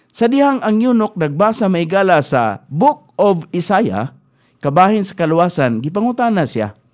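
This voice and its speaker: Against a quiet background, a man speaks at a moderate pace in a high voice with very wide pitch swings. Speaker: radio preacher. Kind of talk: radio sermon, Bible teaching. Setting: radio studio. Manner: earnest, exhortative, steady preaching cadence; formal, pastoral, mixes in English Bible verses. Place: studio. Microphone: studio mic.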